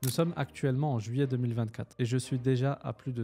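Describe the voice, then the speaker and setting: A man's medium-pitched voice, with fairly even intonation, plays out against music in the background. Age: 20s. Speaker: online business coach. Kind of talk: personal introduction to camera.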